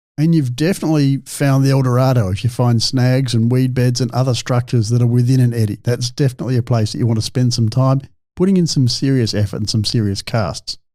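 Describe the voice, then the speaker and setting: Talking very fast with an Australian accent, a man has a dark, mellow tone at a medium pitch. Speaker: fishing podcast host and scientist. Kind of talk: solo podcast monologue. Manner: loud; animated.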